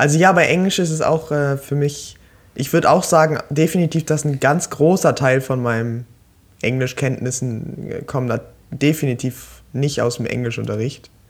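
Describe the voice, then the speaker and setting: Using ordinary pitch variation, a man talks at a moderate pace in a fairly high pitch. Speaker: podcast co-host, student. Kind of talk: casual chat. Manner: halting.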